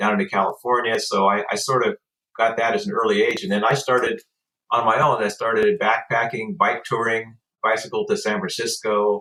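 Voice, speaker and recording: A man's American accent at a fairly quick pace, with very even loudness. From US Pacific Northwest, Portland, Oregon. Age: 60s. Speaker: travel interview guest. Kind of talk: casual interview chat. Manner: halting, with frequent fillers.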